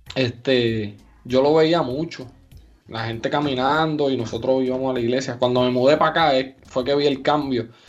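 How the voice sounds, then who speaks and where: The speech moves at a fairly slow pace while music plays in the background. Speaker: podcast co-host. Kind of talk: casual chat.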